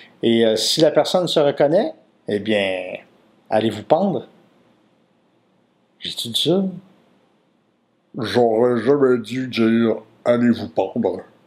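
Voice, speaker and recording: Speaking very slowly, a man with a Quebec accent uses lively intonation. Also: long, frequent pauses. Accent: Québécois French. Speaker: comedian. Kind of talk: comic anecdote, casual storytelling. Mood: playful, comic storytelling. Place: home room.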